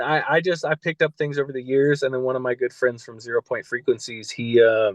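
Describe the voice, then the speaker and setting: Speaking with a Californian accent, a man talks fairly quickly at a medium pitch with ordinary pitch variation. The sound is dry and close, with no echo. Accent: Californian American. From California, Central Valley. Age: 30s. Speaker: music engineer and soul coach. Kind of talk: casual interview chat. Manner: many fillers and restarts.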